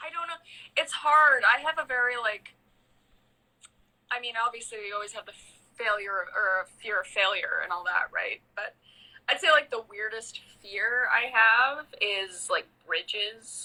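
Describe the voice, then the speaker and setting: Someone with a Canadian accent speaks at a fairly slow pace, leaving long, frequent pauses. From Canada. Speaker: guest on live stream. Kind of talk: casual chat.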